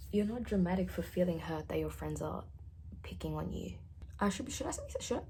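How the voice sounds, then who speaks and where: Audible room echo fills the recording. The pace is fairly quick. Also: woman. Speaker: vlogger. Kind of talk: casual chat. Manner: halting.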